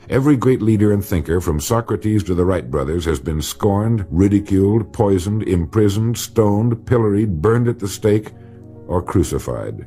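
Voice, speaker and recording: Music plays behind a man speaking at a moderate pace. His fairly low voice has lively intonation. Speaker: motivational speaker. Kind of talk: motivational speech / recorded lecture.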